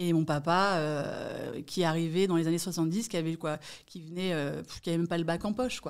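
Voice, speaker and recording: Recorded very cleanly with a silent background, a woman in a plain, everyday voice speaks at a fairly low pitch with fairly even intonation. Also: fairly quick pace. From Paris region, France (Malakoff, Hauts-de-Seine). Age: 40s. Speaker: real estate agent. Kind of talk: podcast interview.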